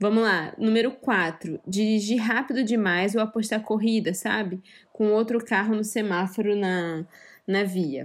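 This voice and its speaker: A woman talks at a fairly slow pace in a fairly high pitch with ordinary pitch variation and very even loudness. It is an unremarkable speaking voice, on a very clean recording with a silent background. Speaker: podcast co-host. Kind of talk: casual chat.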